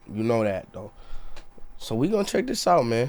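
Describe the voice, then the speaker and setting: Loud and animated, a man speaks. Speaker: YouTube reaction streamer. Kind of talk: casual reaction commentary.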